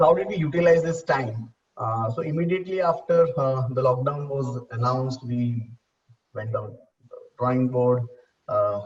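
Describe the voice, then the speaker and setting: A man's medium-pitched, somewhat breathy voice at a moderate pace, with ordinary pitch variation. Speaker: salon business executive. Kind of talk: panel discussion. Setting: video call. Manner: hesitant, many fillers.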